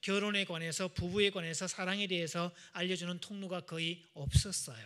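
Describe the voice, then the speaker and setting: In a Gyeongsang accent, a man speaks at a high pitch and moderate pace, his tone animated, bright and sharp, with ordinary pitch variation. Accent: Gyeongsang dialect, noticeable. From Gyeongsang region, Korea. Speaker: marriage counselor, revival speaker. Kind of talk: church seminar talk. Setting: church with audience. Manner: animated, audience-interactive.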